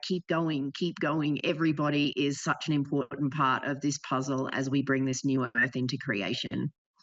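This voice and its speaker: A woman with an Australian accent speaks at a moderate pace with hardly any pauses, a very deep, low pitch, fairly even intonation and very even loudness. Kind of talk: spiritual, facilitator addressing a group. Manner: encouraging, uplifting.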